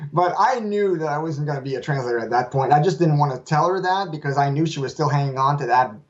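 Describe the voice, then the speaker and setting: A man's very fast speech at a fairly high pitch with ordinary pitch variation. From Quebec. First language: French. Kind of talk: interview. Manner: halting, with repeats and fillers.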